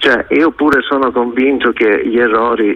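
A man's unremarkable speaking voice: medium pitch, moderate pace, ordinary pitch variation. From Catanzaro, Calabria. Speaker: caller. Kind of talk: radio phone-in call.

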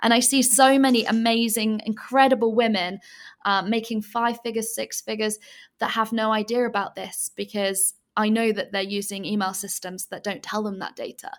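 A woman with an English accent speaks in a monotone, flat intonation. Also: moderate pace. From England. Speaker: entrepreneur. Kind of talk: casual interview chat. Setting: video call from Bali, late at night.

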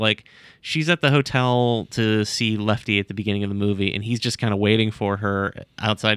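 The man has an unremarkable speaking voice, fairly low in pitch, talking at a fairly quick pace with fairly even intonation. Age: 40s. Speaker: web comic co-creator. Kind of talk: casual chat.

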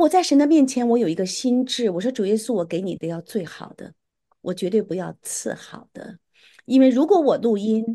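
A woman's dark, mellow tone with lively intonation, over a quiet background. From Beijing, China. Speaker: erhu musician. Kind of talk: interview testimony.

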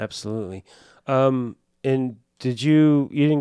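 A man with an American accent, fairly high pitch, a dark, mellow tone and ordinary pitch variation, in a dry, close sound with no echo. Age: 60s. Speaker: podcast host, prop master. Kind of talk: casual interview chat. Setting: studio.

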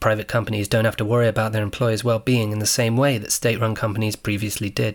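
A man at a very fast pace with a medium pitch. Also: very clean recording, silent background. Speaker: podcast narrator, English teacher in China. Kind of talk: scripted narration.

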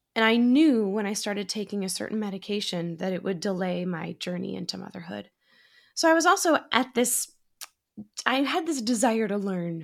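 A woman with a normal speaking voice, medium pitch and moderate pace, in a very clean recording with a silent background. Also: lively intonation. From Massachusetts. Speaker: actor and podcast host. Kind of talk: interview conversation.

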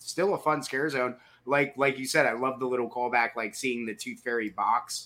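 A man talks at a moderate pace in a medium pitch with fairly even intonation. He has an unremarkable speaking voice. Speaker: podcast host.

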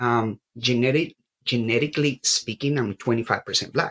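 With a Colombian accent, a man speaks in a dry, close sound with no echo. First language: Spanish. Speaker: graduate student. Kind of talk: panel discussion. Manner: halting.

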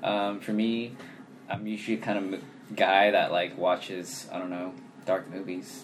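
A man talks at a fairly slow pace with a fairly low pitch and fairly even intonation. Noticeable background noise is present. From Sacramento, California. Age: 20s. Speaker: podcast co-host. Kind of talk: casual chat.

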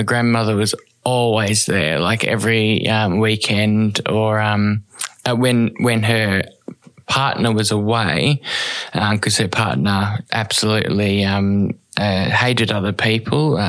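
Over noticeable background noise, a man with a fairly low pitch speaks at a fairly slow pace, his intonation fairly even and his loudness very even. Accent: Australian. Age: young. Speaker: person who injects drugs. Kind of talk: interview, personal story. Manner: halting.

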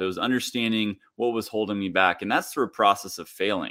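Speaking with a Midwestern US accent, a man uses a fairly low pitch with ordinary pitch variation. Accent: General American, Midwestern. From US Midwest (Kansas). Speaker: leadership coach, former professional golfer. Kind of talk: podcast interview.

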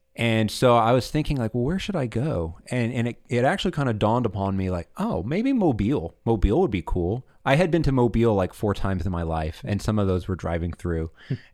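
A man with a Southern US accent talks at medium pitch and a fairly quick pace, with hardly any pauses. His pitch swings very widely, and the recording is very clean with a silent background. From Alabama, Montgomery. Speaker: seminarian. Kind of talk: casual interview.

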